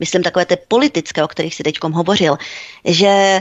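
A woman with a normal speaking voice talks at a moderate pace in a fairly low pitch, her pitch varying in an ordinary way. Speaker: commentator. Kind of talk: political talk radio discussion.

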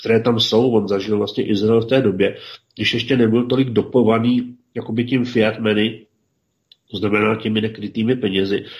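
At a moderate pace, an ordinary speaking voice keeps its intonation fairly even. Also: man. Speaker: regular co-host discussing history and politics. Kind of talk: casual radio discussion.

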